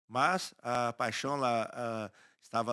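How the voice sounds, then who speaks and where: Recorded very cleanly with a silent background and a dry, close sound with no echo, a man speaks in a bright, sharp tone with fairly even intonation. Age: 60s. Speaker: agronomist and cattle farmer. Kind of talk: interview conversation. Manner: halting, with frequent repetitions.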